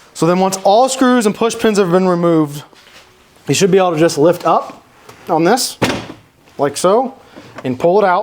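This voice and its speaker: A man's high-pitched voice at a moderate pace, lively in intonation yet very even in loudness, with long, frequent pauses and noticeable background noise. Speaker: installation technician demonstrating car audio install. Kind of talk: tutorial. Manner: casual, with many self-corrections.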